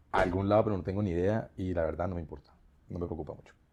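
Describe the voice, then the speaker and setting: Very deep and low in pitch, a man's voice has a dark, mellow tone and fairly even intonation. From Colombia, Bogotá (born in Bucaramanga, moved at 5-6). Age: 40s. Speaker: teacher. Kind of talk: interview.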